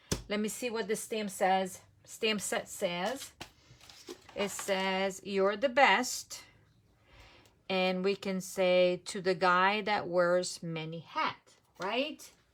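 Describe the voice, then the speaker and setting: Speaking very slowly with long, frequent pauses, a woman with a non-native accent uses a medium pitch and ordinary pitch variation. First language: not English. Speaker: papercraft demonstrator. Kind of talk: live craft tutorial. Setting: Facebook live stream. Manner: casual, thinking aloud.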